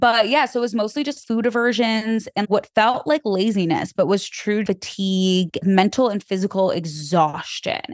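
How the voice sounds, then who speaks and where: A woman speaks in a plain, everyday voice at medium pitch, with ordinary pitch variation, a moderate pace and hardly any pauses, over a quiet background. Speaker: content creator and podcast host. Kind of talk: casual chat.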